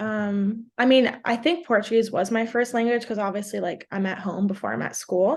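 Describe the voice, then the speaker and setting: A woman with an American accent speaks at a moderate pace with hardly any pauses. Her voice is fairly high, with ordinary pitch variation, against a quiet background. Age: 20s. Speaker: college soccer player and content creator. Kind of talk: podcast interview. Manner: casual, filler-heavy (like, um).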